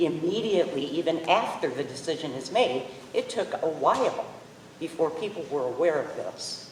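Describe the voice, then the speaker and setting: Against noticeable background noise, a woman with an American accent talks at a moderate pace in a fairly low voice with lively intonation. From central Illinois. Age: 70s. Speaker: public commenter. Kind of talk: public comment at town forum. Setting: public forum in performing arts center.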